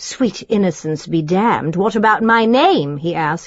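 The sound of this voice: The voice is an unforced reading voice.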